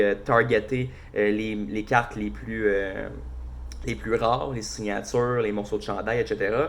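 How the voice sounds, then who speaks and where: This voice has a Quebec accent and moves at a fairly slow pace. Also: man. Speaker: hockey podcast host. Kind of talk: casual solo podcast commentary. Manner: casual, hesitant with many fillers.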